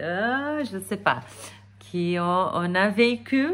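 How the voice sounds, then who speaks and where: A woman talks at a very slow pace. Her medium-pitched voice has lively intonation. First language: not French (speaking French). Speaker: energy therapist. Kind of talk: casual vlog talk to camera. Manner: hesitant with many fillers.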